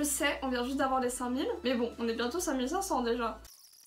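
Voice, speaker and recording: A high-pitched woman's voice at a very fast pace, with audible room echo. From France. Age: 20s. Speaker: YouTuber. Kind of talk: casual Q&A vlog.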